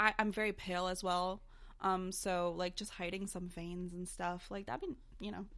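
A woman talks in a plain, everyday voice at medium pitch, with fairly even intonation and a moderate pace. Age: 20s. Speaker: podcast co-host. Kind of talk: casual chat.

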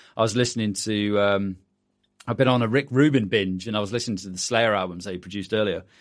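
A man with a fairly low voice speaks at a very fast pace and fairly even intonation, in a very clean recording with a silent background. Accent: British. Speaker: podcast host, music producer and mastering engineer. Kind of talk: casual interview and tutorial chat.

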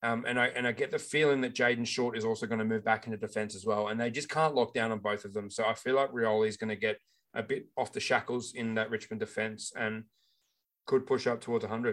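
In an Australian accent, a man talks at a very fast pace in a monotone, flat intonation against a quiet background. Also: medium pitch for a man. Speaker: fantasy football podcast co-host. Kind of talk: casual chat. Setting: home recording with new microphone.

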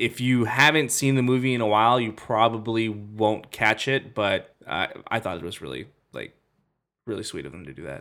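An ordinary speaking voice at a moderate pace, with lively intonation and big swings in loudness. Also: man. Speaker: podcast co-host, movie reviewer. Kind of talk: casual chat.

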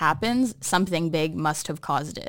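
A fairly low-pitched woman with an American accent at a fairly quick pace, ordinary pitch variation, in a very clean recording with a silent background. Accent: sounds American. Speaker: podcast co-host. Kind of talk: casual chat. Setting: studio.

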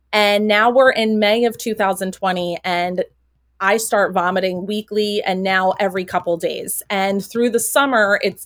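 Moderate pace and fairly even intonation on a very clean recording with a silent background. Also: woman. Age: 30s. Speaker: teacher and patient advocate. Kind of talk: interview.

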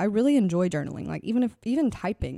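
Speaking very fast in an American accent, a woman has a dark, mellow tone, captured dry and close with no echo in a very clean recording against a silent background. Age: 20s. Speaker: podcast host. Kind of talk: casual monologue.

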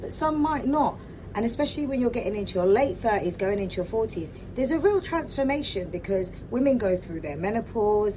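A woman's lively intonation and moderate pace come through clearly audible background noise. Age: 40s. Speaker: spiritual wellness podcaster. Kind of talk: solo podcast monologue.

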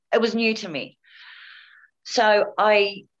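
Here is a woman with a New Zealand accent. Her pitch is fairly high. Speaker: cancer survivor and model. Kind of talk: interview testimony. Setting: video call.

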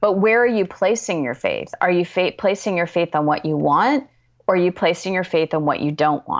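A woman with an ordinary speaking voice talks at medium pitch and a moderate pace, her intonation lively. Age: 50s. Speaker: author and life coach. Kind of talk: interview.

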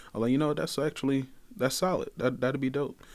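A man with a Detroit accent on a very clean recording with a silent background. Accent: Detroit Michigan Midwest. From Detroit, Michigan. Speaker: guest. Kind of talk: casual chat.

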